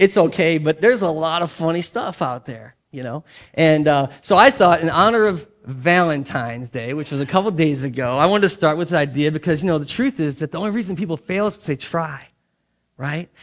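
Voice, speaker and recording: Over a quiet background, a man with a normal speaking voice talks at a fairly quick pace and a fairly high pitch, with lively intonation and big swings in loudness. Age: middle-aged. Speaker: pastor. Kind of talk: sermon. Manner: casual, conversational.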